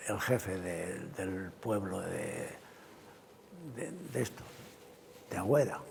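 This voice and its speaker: A man speaks over noticeable background noise. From Cantabria, Spain (Valle de Villaverde). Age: 80s+. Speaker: retired truck driver and livestock farmer. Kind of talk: oral history interview answer.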